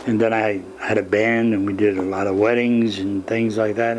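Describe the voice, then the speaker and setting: An American accent marks this man's fairly low voice, with fairly even intonation at a moderate pace. Noticeable background noise runs under the recording. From Jersey City, New Jersey. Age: 70s. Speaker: nightclub and wedding singer, retired bus driver. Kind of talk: interview answer.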